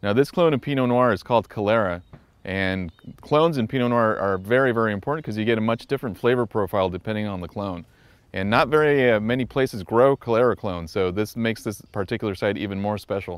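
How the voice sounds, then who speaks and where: A man talks at a very fast pace in a fairly low pitch with ordinary pitch variation. The sound is dry, with no echo. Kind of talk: interview answer. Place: open country. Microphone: lapel.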